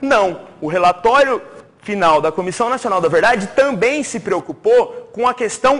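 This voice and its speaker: A man speaks with a high pitch and lively intonation. His pace is fairly slow. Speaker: teacher. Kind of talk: exam review lecture to live class. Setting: classroom with audience, also streamed. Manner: animated.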